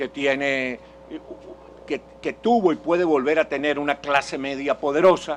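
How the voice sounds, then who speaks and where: A man speaks with a fairly high pitch. Noticeable noise sits behind him. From Venezuela. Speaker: political speaker and journalist. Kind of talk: public lecture. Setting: conference hall with audience. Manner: halting, with self-corrections.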